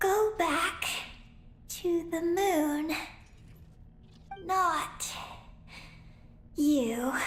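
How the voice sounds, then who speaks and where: An extremely high-pitched, put-on character voice performs. Clear background noise can be heard. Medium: video game. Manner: short broken phrases, panting.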